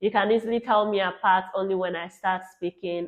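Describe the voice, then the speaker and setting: Her intonation fairly even, a woman speaks in a Nigerian accent. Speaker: travel vlogger. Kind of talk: casual chat.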